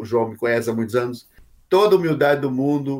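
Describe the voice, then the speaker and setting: Lively in intonation, a man with an unremarkable speaking voice talks at a fairly high pitch. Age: 50s. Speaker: pastor and author. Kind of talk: interview.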